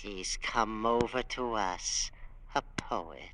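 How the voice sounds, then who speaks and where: Someone speaks very slowly in a put-on character voice with a low pitch, over clear background noise. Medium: old radio play.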